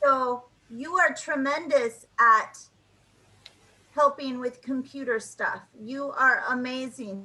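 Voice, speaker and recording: A woman with an American accent speaks at a very slow pace, leaving long, frequent pauses in a raised, projected voice. Her pitch is high with ordinary variation, and her tone is bright and sharp. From United States. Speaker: English tutor. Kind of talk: online English lesson conversation.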